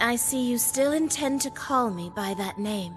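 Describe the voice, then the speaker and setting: A woman performs a cartoonish character voice over clear music in the background. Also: moderate pace. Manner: polite, composed, formal.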